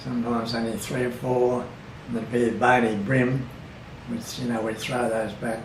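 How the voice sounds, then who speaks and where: A man with an Australian accent, monotone and flat in intonation, over noticeable background noise. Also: medium pitch for a man, moderate pace. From Bundaberg, Queensland, Australia. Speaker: oral history interviewee. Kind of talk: interview answer.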